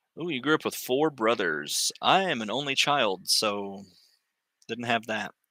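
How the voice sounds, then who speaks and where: On a very clean recording with a silent background, a man with an American accent speaks fairly slowly at medium pitch, his tone bright and sharp, his intonation lively. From US South. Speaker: crochet livestreamer. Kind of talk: casual livestream chat. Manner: halting, many fillers.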